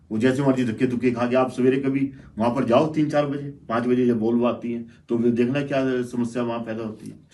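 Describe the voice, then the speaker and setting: The voice has a dark, mellow tone and monotone, flat intonation at a moderate pace. Audible room echo surrounds it. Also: man, medium pitch for a man. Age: 60s. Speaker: local businessman. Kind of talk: panel discussion.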